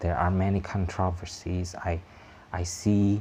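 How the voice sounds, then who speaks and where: Somewhat breathy and very deep, this man's low-pitched voice has a dark, mellow tone and a monotone, flat intonation. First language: not English. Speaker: YouTube vlogger. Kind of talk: casual vlog monologue. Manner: halting, many fillers.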